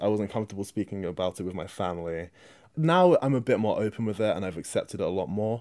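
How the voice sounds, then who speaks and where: With a British accent, a man talks at a fairly quick pace in a fairly low pitch with lively intonation, in a very clean recording with a silent background. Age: 20s. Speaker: young interviewee. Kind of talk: personal testimony.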